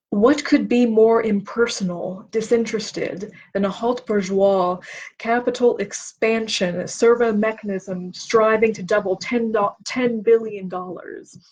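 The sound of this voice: The pace is fairly slow and the intonation fairly even. The tone is slightly mellow. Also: woman, medium pitch for a woman.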